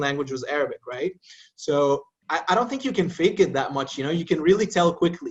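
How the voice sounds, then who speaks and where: A man with an American accent. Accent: American-sounding English. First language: Arabic. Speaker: podcast guest.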